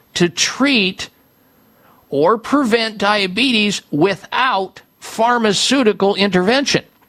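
Bright and sharp in tone, a man's high-pitched voice moves with lively intonation. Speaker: health radio host. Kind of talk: radio talk show, call-in health advice.

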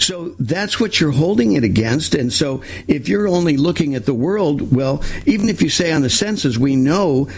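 A man speaks at a moderate pace in a fairly high pitch. His pitch swings very widely. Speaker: talk radio host. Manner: hesitant, filler-heavy.

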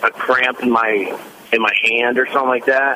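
Noticeable background noise sits behind this recording. A man talks at a moderate pace with a medium pitch. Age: 40s. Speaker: caller with muscle cramps. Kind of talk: phone-in question. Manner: halting, many fillers.

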